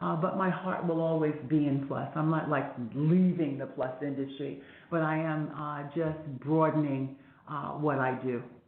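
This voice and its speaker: A woman with a very deep, low pitch talks at a moderate pace with fairly even intonation. Noticeable background noise and audible room echo fill the recording. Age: 60s. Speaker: fashion event producer. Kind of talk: podcast interview.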